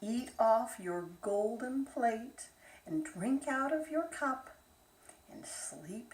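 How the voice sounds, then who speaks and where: A put-on character voice at a very slow pace. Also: woman. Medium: read story.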